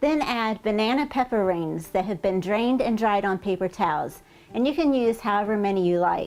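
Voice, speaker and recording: Faint music plays in the background as the voice moves at a moderate pace, with ordinary pitch variation and very even loudness. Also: woman, medium pitch for a woman. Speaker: cooking show host. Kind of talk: cooking tutorial. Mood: friendly, upbeat. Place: kitchen. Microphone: lapel.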